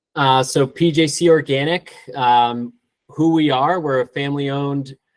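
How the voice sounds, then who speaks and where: In an ordinary speaking voice, a man of medium pitch talks at a fairly slow pace with ordinary pitch variation. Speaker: organic turf care specialist. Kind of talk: webinar presentation.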